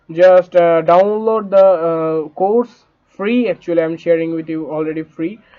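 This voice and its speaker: A man speaks with a high voice and ordinary pitch variation. His pace is fairly slow. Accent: non-native. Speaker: online money-making tutor. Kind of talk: tutorial. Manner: halting, many fillers.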